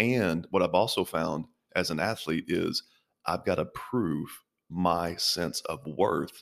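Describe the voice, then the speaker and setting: In a very clean recording with a silent background, a man with a very deep, low pitch and vocal fry talks at a very slow pace with ordinary pitch variation. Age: 30s. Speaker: pastor. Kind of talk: interview.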